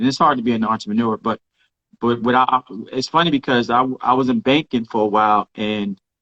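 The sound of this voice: A man's fairly low voice at a fairly quick pace, dry and close with no echo. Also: fairly bright tone.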